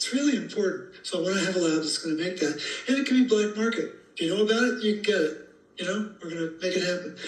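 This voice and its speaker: A man talks at a very fast pace in a high voice. Noticeable background noise and audible room echo surround him. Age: 70s. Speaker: health educator. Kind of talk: interview.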